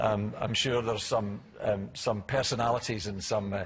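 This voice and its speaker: Somewhat breathy and at medium pitch, a man's voice keeps a fairly even intonation. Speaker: government chief executive. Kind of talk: conference talk. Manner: halting, many fillers and repeats.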